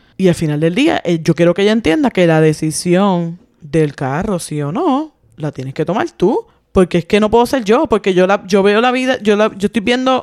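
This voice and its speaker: A woman's medium-pitched voice at a fairly quick pace with very wide pitch swings, dry and close with no echo. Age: 40s. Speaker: podcast co-host. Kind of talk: casual chat.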